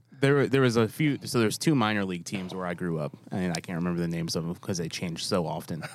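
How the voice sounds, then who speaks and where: A man's very deep, low voice with an American accent, very fast, with hardly any pauses and lively intonation. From New York. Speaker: podcast host. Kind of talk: casual chat. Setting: studio.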